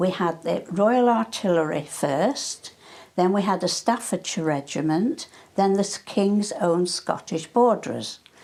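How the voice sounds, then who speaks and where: A woman with a northwest English accent speaks fairly slowly at a medium pitch, with lively intonation and very even loudness. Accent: north-west English. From Cheshire, north-west England (Hale, near Manchester). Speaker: wartime eyewitness. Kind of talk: oral history interview. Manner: halting.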